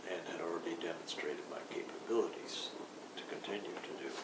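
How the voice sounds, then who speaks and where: A man speaks at a moderate pace, with audible room echo and noticeable background noise. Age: 70s. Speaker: recovering alcoholic sharing his story. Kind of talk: personal testimony. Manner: halting, with frequent fillers.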